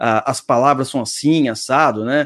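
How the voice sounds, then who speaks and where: In an unremarkable speaking voice, a man talks at medium pitch and a fairly slow pace with fairly even intonation. The background is quiet. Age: 30s. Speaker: podcast host. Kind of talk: casual chat. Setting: live stream.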